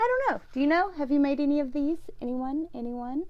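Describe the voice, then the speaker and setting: Recorded with audible room echo, a woman talks in a high pitch with a dark, mellow tone. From US South, central Alabama. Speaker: knitting vlogger. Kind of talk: casual video chat. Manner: chatty, many fillers.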